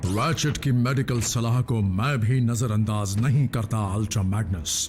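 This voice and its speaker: At a moderate pace and medium pitch, a man performs a put-on character voice, with clear background noise behind him. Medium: fan dub. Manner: measured, grave.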